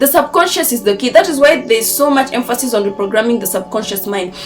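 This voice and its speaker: A woman's high-pitched voice with lively intonation at a very fast pace, music in the background. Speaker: manifestation coach. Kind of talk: motivational talk. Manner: animated.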